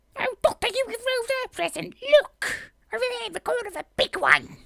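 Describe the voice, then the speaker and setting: In a put-on character voice, a woman speaks shrill and squeaky at an extremely high pitch and a moderate pace, with big swings in loudness and a dry, close sound with no echo. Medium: read story.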